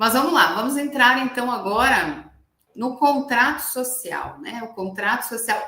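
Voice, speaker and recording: A woman's normal speaking voice, fairly slow in pace, with lively intonation. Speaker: corporate lawyer. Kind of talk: webinar presentation. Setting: online webinar.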